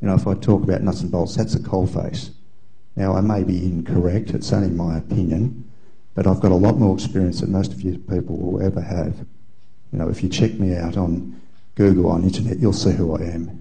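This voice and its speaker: Over audible room echo, a man with an Australian accent speaks at a fairly quick pace in a very deep, low pitch, his voice somewhat breathy with a dark, mellow tone and ordinary pitch variation. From Australia (Melbourne). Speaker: audience member at symposium. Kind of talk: audience comment in open discussion.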